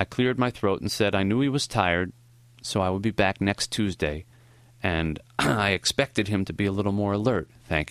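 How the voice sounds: The pitch moves in an ordinary way throughout a natural reading voice.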